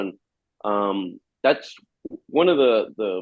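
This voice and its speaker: The speaker has a Spanish accent. The pitch swings very widely. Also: man. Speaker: metal guitarist. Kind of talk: interview. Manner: halting, many repeated words.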